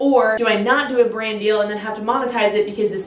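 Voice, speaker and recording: A woman talking fairly quickly with fairly even intonation, audible room echo and light background noise. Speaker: vlogger. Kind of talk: casual vlog chat, sponsor read. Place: home room. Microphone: camera far.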